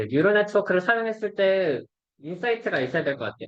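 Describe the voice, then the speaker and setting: Talking at a very fast pace, a man speaks in a high voice. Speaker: robotics researcher presenting seminar. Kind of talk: academic seminar lecture.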